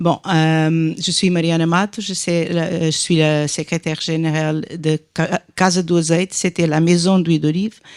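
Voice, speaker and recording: In a Portuguese accent, a woman speaks at a fairly slow pace and a fairly low pitch, with monotone, flat intonation and a dry, close sound with no echo. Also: very clean recording, silent background. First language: Portuguese (speaking French). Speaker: industry association director. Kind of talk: panel discussion. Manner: halting, many hesitations.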